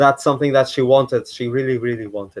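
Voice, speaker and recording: His voice has a medium pitch for a man. The intonation is monotone and flat. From Portugal. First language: Portuguese. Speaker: YouTuber. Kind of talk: live stream commentary. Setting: live stream at home. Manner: halting.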